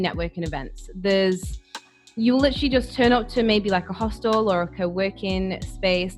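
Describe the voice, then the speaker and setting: Music plays in the background as a woman talks at a moderate pace and medium pitch. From United Kingdom. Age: young. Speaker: digital nomad and entrepreneur. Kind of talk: interview answer.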